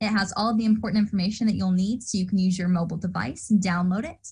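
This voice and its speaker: This woman speaks with an American accent at a medium pitch. Her voice is somewhat breathy. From Indiana, US Midwest. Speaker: student orientation leader. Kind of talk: online orientation presentation.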